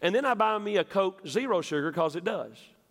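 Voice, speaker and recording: The speaker has a Southern US accent, a fairly quick pace and very wide pitch swings. The recording is very clean with a silent background. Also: man. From West Tennessee. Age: 50s. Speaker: pastor. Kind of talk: sermon. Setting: church.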